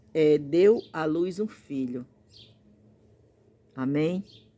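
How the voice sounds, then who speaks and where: A woman's very deep, low voice, dark and mellow in tone, with ordinary pitch variation. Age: 60s. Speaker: preacher. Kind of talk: sermon. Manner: halting.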